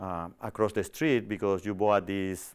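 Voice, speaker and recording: A man with a fairly low pitch and a non-native accent at a moderate pace, on a very clean recording with a silent background. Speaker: TV show host on personal growth. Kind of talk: inspirational self-help talk. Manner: hesitant, many fillers.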